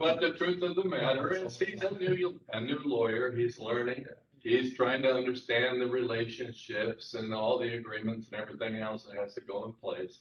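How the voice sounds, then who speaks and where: A man's normal speaking voice at medium pitch. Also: moderate pace. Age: 60s. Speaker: attorney. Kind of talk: job interview before a city council. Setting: council chambers.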